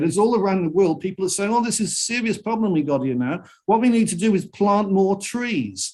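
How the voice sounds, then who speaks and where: The speaker talks at a fairly quick pace with a Welsh accent. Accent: Welsh (Cardiff) English. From Wales (Cardiff). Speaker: singer-songwriter and environmentalist. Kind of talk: interview. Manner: halting, many repetitions.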